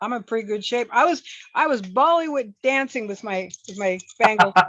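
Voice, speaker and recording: A woman's normal speaking voice, a normal speaking voice, fairly high in pitch, with lively intonation and a moderate pace. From US Pacific Northwest, Seattle. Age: 60s. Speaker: former athlete and glamping host. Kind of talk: interview.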